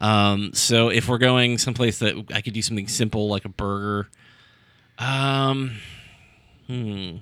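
With fairly even intonation and long, frequent pauses, a man of medium pitch talks at a fairly slow pace. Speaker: podcast co-host. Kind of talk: casual chat. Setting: studio. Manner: halting.

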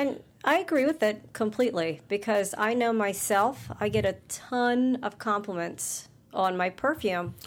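A woman with an unremarkable speaking voice talks at a fairly slow pace, with lively intonation and very even loudness. The recording is very clean, with a silent background. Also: fairly high pitch for a woman. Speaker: podcast co-host. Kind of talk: casual chat.

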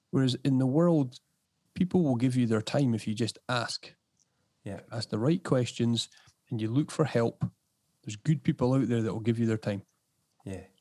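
A man with a medium pitch and a dark, mellow tone speaks at a moderate pace in an Edinburgh accent, with ordinary pitch variation. The sound is dry and close with no echo, and long, frequent pauses break up his speech. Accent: Scottish (Edinburgh). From Scotland, Edinburgh. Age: 30s. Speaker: podcast host and property business owner. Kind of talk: casual interview chat.

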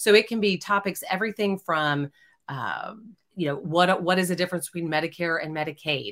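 A woman with an ordinary speaking voice talks at a fairly quick pace. Her pitch is fairly low, with ordinary pitch variation. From Texas, Houston. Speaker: former TV news anchor. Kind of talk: casual chat.

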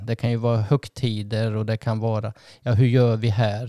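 A man speaks at a moderate pace with a medium pitch and a dark, mellow tone. The recording is very clean with a silent background, and the sound is dry and close with no echo. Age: 60s. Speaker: couples therapist and podcast host. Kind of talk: casual chat. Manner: halting.

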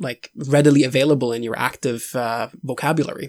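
Very clean recording, with a silent background. The speaker has a Swedish accent, fairly even intonation and a moderate pace. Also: man. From Sweden. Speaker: tabletop role-playing podcaster. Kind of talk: casual interview.

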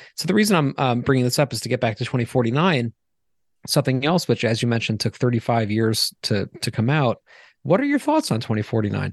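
Against a quiet background and with a dry, close sound with no echo, a man with an ordinary speaking voice talks at a moderate pace and a medium pitch with ordinary pitch variation. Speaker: podcast co-host. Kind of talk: casual interview chat.

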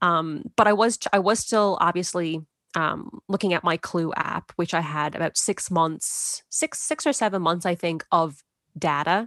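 A woman with an unremarkable speaking voice talks at a fairly slow pace, fairly low in pitch with ordinary pitch variation. The background is quiet, and the sound is dry and close with no echo. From Canada. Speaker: mother sharing birth story. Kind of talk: testimony.

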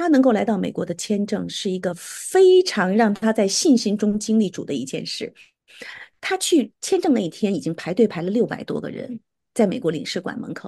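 A woman with a dark, mellow tone and vocal fry talks at a moderate pace. Her pitch swings very widely against a quiet background. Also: fairly high pitch for a woman. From Beijing, China. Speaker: erhu musician. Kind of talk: interview testimony.

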